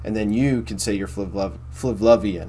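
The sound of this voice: The man's fairly low voice keeps a fairly even intonation.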